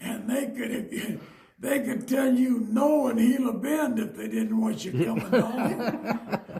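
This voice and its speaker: This man talks at a very slow pace with an extremely high pitch and fairly even intonation, in an American accent. Noticeable background noise and audible room echo fill the recording. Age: 90s. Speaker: retired miner. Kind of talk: oral history interview.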